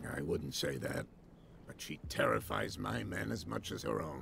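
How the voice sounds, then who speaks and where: A man's put-on character voice, raspy and very deep and low, against clear background noise. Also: moderate pace. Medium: video game. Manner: measured, inquisitive.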